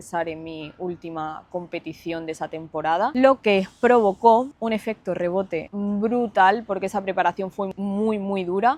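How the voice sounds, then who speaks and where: Spoken with a slight Granada accent, the voice keeps a moderate pace and ordinary pitch variation. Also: woman. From Spain, Andalusia (Granada, early childhood Lanzarote). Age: 20s. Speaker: fitness influencer and online coach. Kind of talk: personal storytelling vlog. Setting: seated, self-recorded video.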